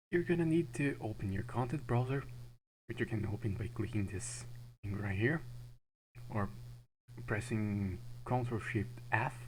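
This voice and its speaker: Someone with a non-native accent and vocal fry talks at a moderate pace with ordinary pitch variation and long, frequent pauses. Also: man, medium pitch for a man. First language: not English. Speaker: game modding tutorial maker. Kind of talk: tutorial. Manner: halting.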